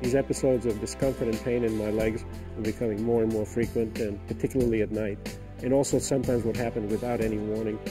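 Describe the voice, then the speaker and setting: Over music in the background, a man speaks very fast at a medium pitch with ordinary pitch variation. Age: 70s. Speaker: retired doctor and wildlife photographer. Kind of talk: patient testimonial interview answer.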